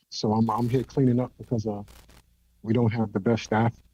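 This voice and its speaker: In a New York accent, a man speaks at a medium pitch. His tone is dark and mellow, and his intonation is monotone and flat. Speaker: caller, cafe investor. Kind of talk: call-in conversation. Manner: halting.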